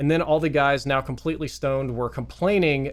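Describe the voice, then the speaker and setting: Recorded very cleanly against a silent background, a man with a Southern accent talks at medium pitch and a moderate pace. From US South, Mississippi. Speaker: gaming youtuber. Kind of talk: storytelling monologue. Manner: casual, conversational.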